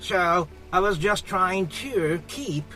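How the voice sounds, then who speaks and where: Music plays in the background as someone with a Japanese accent speaks at a very slow pace. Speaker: professor, ESL instructor. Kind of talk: lecture talk to camera.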